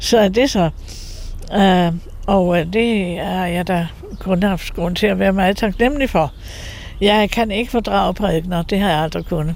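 Noticeable background noise sits under a fairly slow delivery with ordinary pitch variation and long, frequent pauses. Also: woman, medium pitch for a woman. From Denmark, Copenhagen (Valby). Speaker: nun and icon painter. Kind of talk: interview. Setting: her home. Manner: halting.

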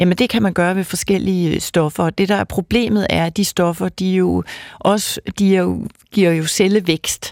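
An unremarkable speaking voice from a woman at medium pitch, fairly slow in pace and fairly even in intonation, with a dry, close sound with no echo on a very clean recording with a silent background. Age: 50s. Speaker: fertility doctor and professor. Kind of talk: expert interview.

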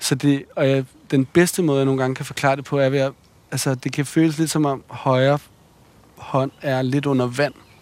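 At a moderate pace, a man talks with a fairly high pitch and monotone, flat intonation. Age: 30s. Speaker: podcast host. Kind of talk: casual conversation. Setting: outdoors, walking.

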